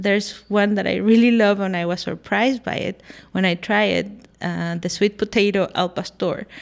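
With a Spanish accent, a woman speaks at a moderate pace and medium pitch with fairly even intonation, on a very clean recording with a silent background. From Mexico, Guadalajara, Jalisco. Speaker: food blogger, recipe developer. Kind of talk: radio interview. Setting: radio studio.

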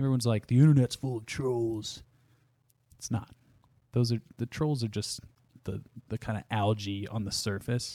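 In a very clean recording with a silent background and a dry, close sound with no echo, a man with an American accent speaks at a moderate pace and medium pitch, with a dark, mellow tone, fairly even intonation and long, frequent pauses. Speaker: podcast host and guitarist. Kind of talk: casual chat. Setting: studio.

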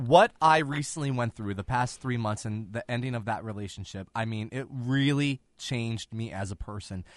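In a dry, close sound with no echo and a quiet background, a man with a normal speaking voice talks at a moderate pace and medium pitch, with ordinary pitch variation and hardly any pauses. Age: 30s. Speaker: podcast host. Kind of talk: casual chat.

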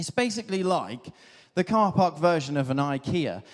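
A man with a southern English accent, high pitch, lively intonation and a moderate pace, in a very clean recording with a silent background. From Devon, England. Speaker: clergy. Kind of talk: sermon.

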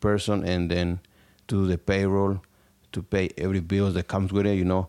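A man with a Spanish accent speaks at a very deep, low pitch in a monotone, flat way. The recording is very clean, with a silent background. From Mexico, Tlaxcala. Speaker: small business owner. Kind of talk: interview testimony.

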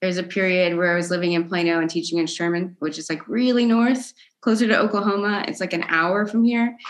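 A woman with an American accent and a plain, everyday voice speaks fairly quickly in a medium pitch with ordinary pitch variation. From Texas, Dallas suburbs. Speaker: percussion educator and composer. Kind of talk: casual interview chat. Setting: video call.

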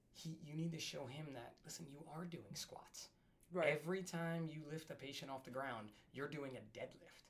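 A man with an American accent speaks at a moderate pace in a plain, everyday voice. His pitch is fairly high, with ordinary variation. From New Jersey. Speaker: firefighter and paramedic. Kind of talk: casual chat.

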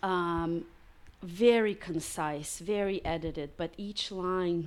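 A woman speaks very slowly in a Russian accent. Her pitch is fairly low and her intonation fairly even. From Russia (Samara). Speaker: painter. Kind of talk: casual interview. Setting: artist's studio.

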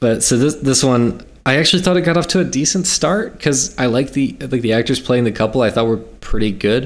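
A man with an American accent talks at a medium pitch in a plain, everyday voice, with lively intonation. He moves at a fairly quick pace with hardly any pauses and very even loudness. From South Carolina. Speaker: podcast host, film reviewer. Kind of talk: casual chat.

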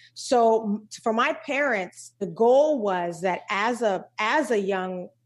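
A woman speaks at a fairly high pitch and a fairly slow pace in a plain, everyday voice. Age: 40s. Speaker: keynote speaker and coach. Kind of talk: casual chat.

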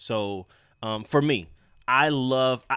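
Lively intonation and a bright, sharp tone come through a very clean recording with a silent background and a dry, close sound with no echo. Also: man. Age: 30s. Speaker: fitness podcast co-host and trainer. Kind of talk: casual chat.

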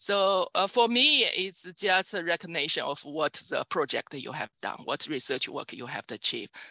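A woman's medium-pitched voice with a Chinese accent, very wide pitch swings, a bright, sharp tone, moderate pace, hardly any pauses, and a dry, close sound with no echo. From China. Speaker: computer science professor. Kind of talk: interview. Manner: halting.

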